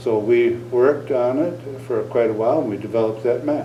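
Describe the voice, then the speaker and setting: A man at medium pitch with an American accent, fairly slow in pace, with noticeable background noise and audible room echo. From northern Wisconsin. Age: 60s. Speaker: Native cultural consultant. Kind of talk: interview.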